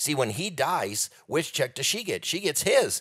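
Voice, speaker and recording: The voice belongs to a man and carries vocal fry. His pace is moderate. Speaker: economist, author and speaker. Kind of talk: podcast interview.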